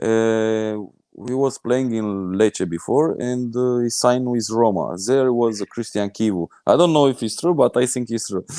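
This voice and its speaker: The man's voice has a dark, mellow tone and medium pitch, moving at a moderate pace with ordinary pitch variation and hardly any pauses. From Romania. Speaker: former international football player. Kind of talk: casual chat, live webinar.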